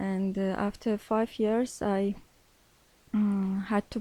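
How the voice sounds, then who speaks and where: A woman with an Armenian accent, medium in pitch, monotone and flat, with a dark, mellow tone. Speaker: English learner, social worker by training. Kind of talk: interview in second language. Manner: halting, many hesitations.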